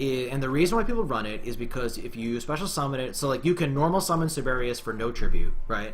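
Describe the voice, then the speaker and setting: Lively intonation and a fairly quick pace mark this man's delivery, with hardly any pauses. Audible room echo surrounds the recording. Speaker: gaming streamer. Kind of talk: gameplay commentary. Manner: fast; animated.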